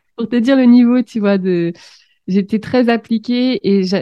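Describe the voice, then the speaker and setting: A woman talks with ordinary pitch variation. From France, Seine-et-Marne. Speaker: business coach. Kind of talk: interview.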